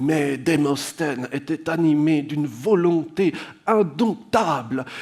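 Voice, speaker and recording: The man's voice sits at a fairly high pitch. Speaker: public speaker and writer. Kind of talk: conference talk. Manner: slurred-sounding delivery.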